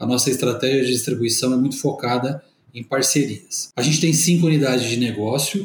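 A man speaks at a fairly quick pace, medium in pitch and somewhat breathy. His intonation stays fairly even. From Brazil, interior of São Paulo state. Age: 40s. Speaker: company executive. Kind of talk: corporate interview. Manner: formal.

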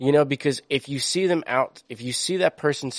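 With an American accent and an unremarkable speaking voice, a man speaks at a moderate pace with ordinary pitch variation in a dry, close sound with no echo. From US East Coast. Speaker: podcast co-host. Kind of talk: casual chat.

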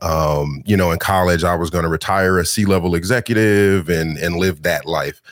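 On a very clean recording with a silent background, a man speaks in a very deep, low voice with fairly even intonation. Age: 30s. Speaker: food content creator and meal prep business owner. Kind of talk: casual interview chat.

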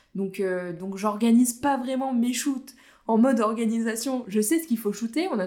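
An animated woman's voice, fairly high in pitch, at a moderate pace with ordinary pitch variation. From Vosges, eastern France. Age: 20s. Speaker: photographer. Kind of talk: casual interview.

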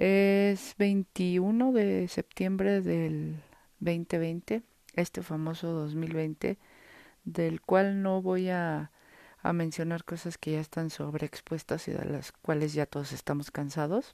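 Very slow speech in a Mexico City accent has a dark, mellow tone and ordinary pitch variation, recorded very cleanly with a silent background and a dry, close sound with no echo. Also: woman, fairly low pitch for a woman. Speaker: podcaster, digital agency owner. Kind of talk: solo monologue, personal diary-style podcast. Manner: unscripted, casual.

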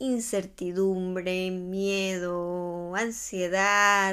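A woman's medium-pitched, warm voice at a very slow pace, in a very clean recording with a silent background. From Ecuador. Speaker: podcast host. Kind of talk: reflective solo podcast monologue. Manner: warm, conversational.

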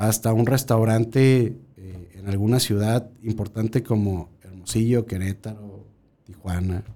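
A fairly slow pace carries the speech. Its tone is dark and mellow, with ordinary pitch variation. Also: man. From central Mexico, Guanajuato. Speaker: restaurant consultant and food researcher. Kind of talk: casual chat.

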